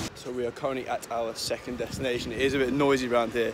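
A man rattles along at a very fast pace, his pitch varying in an ordinary way, while loud background noise fills the clip. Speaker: student guide. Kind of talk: casual vlog chat. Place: street. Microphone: phone near.

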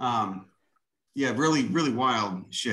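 Over a quiet background, a man with a Chicago accent talks in a bright, sharp tone with vocal fry and very wide pitch swings. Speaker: self-taught botanist and plant video maker. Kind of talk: lecture. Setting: video call. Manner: casual and profane. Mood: enthusiastic, casual, swearing. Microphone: video call.

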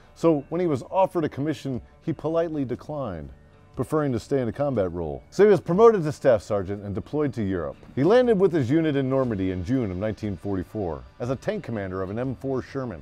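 Over faint background music, a man talks at a fairly quick pace. The sound is dry with no echo. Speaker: history show host. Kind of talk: storytelling narration. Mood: jovial, laughing asides. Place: home room.

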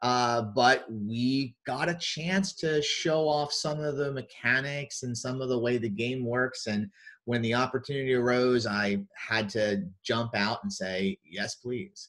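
Delivery comes at a fairly slow pace with fairly even intonation. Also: man, medium pitch for a man, fairly bright tone.

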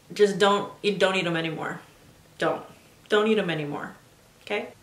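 A woman speaks at a fairly quick pace. Audible room echo surrounds her voice. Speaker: lifestyle vlogger. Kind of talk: personal story vlog. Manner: casual and chatty. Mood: candid, expressive storytelling.

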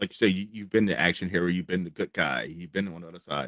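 The man's very deep, low voice comes through a dry sound with no echo and a quiet background. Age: 40s. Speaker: horror channel interviewer; podcast host interviewer. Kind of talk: casual interview. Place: home room. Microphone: studio mic.

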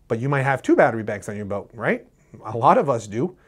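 A man speaks very fast with lively intonation. The background is quiet. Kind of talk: tutorial. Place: studio.

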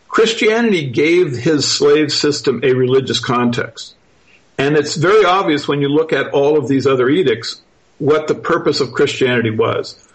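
A somewhat breathy man talks at a moderate pace with very even loudness. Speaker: author and researcher. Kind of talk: interview. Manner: relaxed and even-handed; halting, many fillers.

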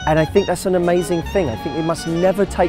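Clear music plays in the background while a man talks. His voice sounds dry, with no echo. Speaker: dating coach. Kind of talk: to-camera commentary. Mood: earnest, encouraging. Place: waterside. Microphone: lapel.

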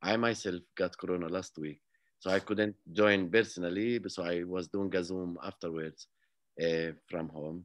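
A man speaks with a very deep, low pitch and fairly even intonation. His pace is moderate and the background is quiet. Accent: Arabic. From Palestine, village near Jerusalem. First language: Arabic. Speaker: peace activist and author; interview guest. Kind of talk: interview; interview answer. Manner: halting. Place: home room. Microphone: video call.

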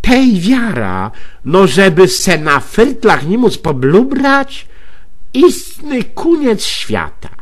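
Over noticeable background noise, a man speaks very slowly at a high pitch with very wide pitch swings. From Greater Poland. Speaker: dialect storyteller. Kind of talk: humorous monologue in regional dialect. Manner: chatty, colloquial.

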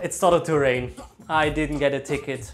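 A man with a German accent speaks over clear music in the background. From Germany. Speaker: YouTuber, former hospitality worker. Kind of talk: comedic vlog talk to camera. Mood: jokey, ironic storytelling. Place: studio. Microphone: lapel.

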